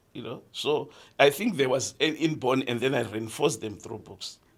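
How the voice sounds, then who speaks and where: At a moderate pace, the speaker uses an ordinary speaking voice on a very clean recording with a silent background. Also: man. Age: 60s. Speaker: podcast host's father sharing life stories. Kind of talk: casual chat.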